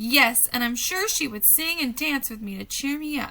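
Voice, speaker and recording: A woman's high-pitched put-on character voice at a moderate pace, with light background noise. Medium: read story.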